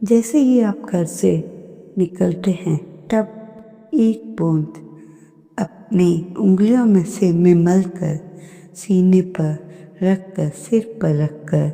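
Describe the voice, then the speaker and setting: A woman with a medium pitch talks at a very slow pace, with ordinary pitch variation. Noticeable background noise runs behind her. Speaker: satsang narrator. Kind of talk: devotional talk.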